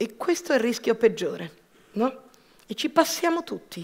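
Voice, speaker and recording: At a fairly slow pace, a woman with a high pitch speaks with lively intonation. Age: 50s. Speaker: entrepreneur. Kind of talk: personal testimony talk. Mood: reflective, personal. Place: stage. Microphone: headset.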